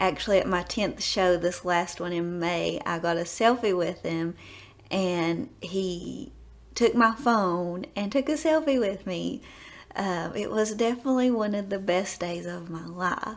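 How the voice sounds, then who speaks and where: This woman has a strong Southern US accent. She talks at a fairly slow pace with lively intonation. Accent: deep Southern. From US South, East Tennessee. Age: 20s. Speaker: nurse educator. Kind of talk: self-introduction video.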